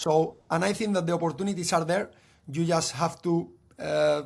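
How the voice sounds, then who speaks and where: The speech comes at a fairly quick pace with a Spanish accent. Its intonation stays fairly even. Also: man. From Spain, Cadiz. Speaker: football coach. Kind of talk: podcast interview. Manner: halting.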